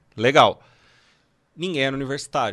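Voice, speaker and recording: A man speaks in a bright, sharp tone. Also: quiet background. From Brazil, São Paulo (Guarulhos). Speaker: founder of an online game-development school. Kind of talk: casual chat.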